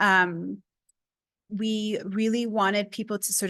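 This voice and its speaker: A woman speaks with a Spanish accent in monotone, flat intonation. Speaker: research engagement speaker. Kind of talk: seminar Q&A.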